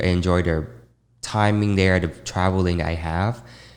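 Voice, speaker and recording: In a very clean recording with a silent background, a man with a Vietnamese accent speaks fairly slowly at a fairly low pitch with ordinary pitch variation. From Vietnam, Ho Chi Minh City. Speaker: fashion designer. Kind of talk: interview.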